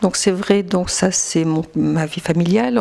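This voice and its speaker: A woman speaks at a fairly slow pace in a medium pitch, with noticeable background noise. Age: 60s. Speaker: politician and schoolteacher. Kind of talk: campaign interview. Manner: halting, many hesitations.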